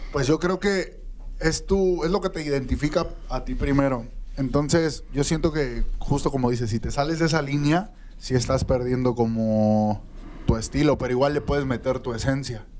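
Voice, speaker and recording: Light background noise sits in the recording. A man talks at a moderate pace, his pitch varying in an ordinary way. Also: fairly high pitch for a man. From Mexico. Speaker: reggaeton singer; guest. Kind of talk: casual interview. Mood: relaxed, friendly. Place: studio. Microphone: handheld.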